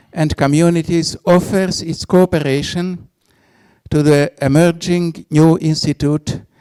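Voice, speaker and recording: Speaking at a moderate pace, a man with a fairly high pitch and a dark, mellow tone shows ordinary pitch variation in a dry, close sound with no echo. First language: Hungarian. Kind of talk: reading a prepared speech. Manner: formal.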